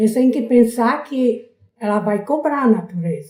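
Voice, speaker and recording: A woman speaks with a dark, mellow tone that is somewhat breathy. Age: 80s+. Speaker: local resident, elderly interviewee. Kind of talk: oral history interview.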